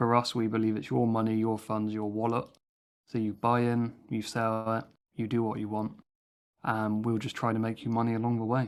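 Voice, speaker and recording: Speaking in a flat monotone at a moderate pace, a man uses a medium pitch. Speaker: crypto project founder. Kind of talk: AMA interview answers.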